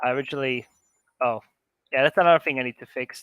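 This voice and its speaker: A man with an Israeli accent at medium pitch, in a dry, close sound with no echo, very cleanly recorded over a silent background. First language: Hebrew. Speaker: conference speaker, game modder. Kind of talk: live demo talk. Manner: casual, halting with fillers.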